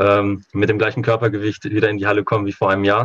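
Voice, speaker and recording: Words tumble out of this man at a very fast rate. There is a somewhat breathy quality to his voice. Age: 20s. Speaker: handball coach. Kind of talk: podcast interview.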